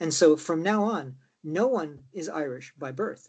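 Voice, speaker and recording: Using a normal speaking voice, a man with an American accent speaks at a fairly high pitch with lively intonation. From Chicago, US, with years in Mayo, Ireland. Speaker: political party member. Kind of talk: casual interview.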